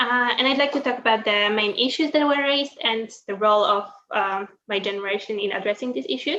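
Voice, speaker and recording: A woman with a Polish accent speaks at a fairly quick pace with lively intonation. Her fairly high voice has a bright, sharp tone. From Poland. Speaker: university student. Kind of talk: prepared presentation. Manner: hesitant, many fillers.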